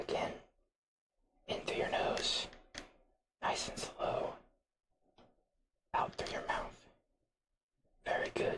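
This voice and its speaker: A man's raspy, soothing put-on character voice. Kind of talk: ASMR medical role-play. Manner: soft-spoken, slow, soothing, whispered.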